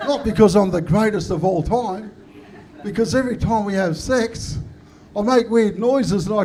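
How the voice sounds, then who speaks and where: A man with an Australian accent talks at a moderate pace and a high pitch, with ordinary pitch variation. There is noticeable background noise and audible room echo. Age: 50s. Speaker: comedian. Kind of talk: stand-up.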